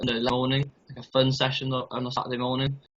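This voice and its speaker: This is a man speaking. He has a North Welsh accent. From North Wales. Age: 20s. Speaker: youth football coach. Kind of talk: interview.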